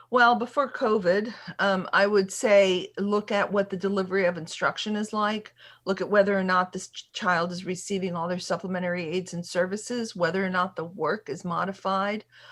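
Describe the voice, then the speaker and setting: A woman with a plain, everyday voice speaks at a moderate pace and medium pitch. Her intonation stays fairly even against a quiet background. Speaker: special education attorney. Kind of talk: workshop Q&A.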